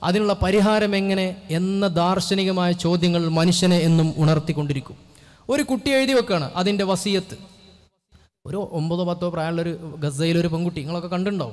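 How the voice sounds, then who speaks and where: A man is speaking. His voice is high, with ordinary pitch variation. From Kerala, India. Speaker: Islamic scholar and speaker; speaker. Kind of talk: religious speech at a convention. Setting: stage with audience. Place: hall. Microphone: podium.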